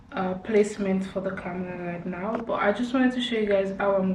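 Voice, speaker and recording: Medium pitch from a woman at a moderate pace, with audible room echo. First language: not English. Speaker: crochet tutorial creator. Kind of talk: tutorial. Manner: casual, chatty.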